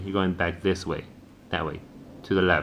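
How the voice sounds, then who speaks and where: The man speaks at a fairly quick pace. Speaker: parent or tutor helping a child with homework. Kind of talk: tutorial. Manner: halting, many repetitions; fast.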